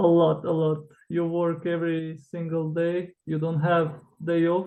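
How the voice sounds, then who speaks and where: A man's high-pitched voice with a Croatian accent, monotone and flat, at a very slow pace. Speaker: author, former cruise ship worker. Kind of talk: interview. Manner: hesitant, with fillers.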